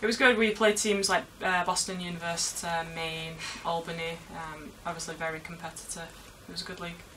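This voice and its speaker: This woman, with a Manchester accent, talks at a fairly quick pace in a fairly low pitch and fairly even intonation. Audible room echo and noticeable background noise are present. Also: big swings in loudness. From England, Manchester. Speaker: university footballer. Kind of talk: interview.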